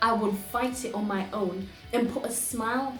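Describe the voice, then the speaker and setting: A woman's voice comes through noticeable background noise. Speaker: poet. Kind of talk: personal reflection to camera.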